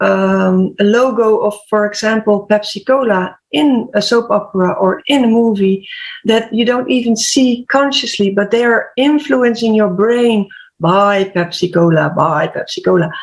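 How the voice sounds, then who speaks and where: With a Dutch accent, a woman speaks at a fairly slow pace in a fairly high pitch, with ordinary pitch variation and very even loudness. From Netherlands. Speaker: HR/PR coach and health podcaster. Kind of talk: panel discussion.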